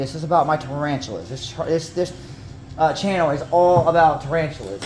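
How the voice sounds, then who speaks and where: There is noticeable background noise as a man with a Southern US accent talks at a fairly quick pace and a fairly high pitch, keeping his intonation fairly even. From North Carolina. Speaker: tarantula keeper. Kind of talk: tutorial. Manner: casual, halting.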